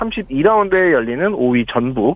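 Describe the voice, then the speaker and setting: Here a man speaks at a moderate pace, his fairly high voice making very wide pitch swings. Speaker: sports reporter. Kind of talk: radio news report. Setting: radio studio.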